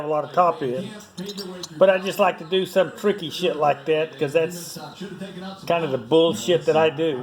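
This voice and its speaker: With noticeable background noise, a man talks at a fairly quick pace in a high pitch, his pitch varying in an ordinary way. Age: 70s. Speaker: motorcycle and car hobbyist. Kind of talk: casual workshop vlog. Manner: casual, rambling with fillers.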